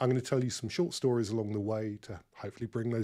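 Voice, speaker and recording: A man's dark, mellow voice at a medium pitch, with ordinary pitch variation. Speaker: KPI consultant and webinar presenter. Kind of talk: webinar presentation. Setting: online webinar call. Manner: fast.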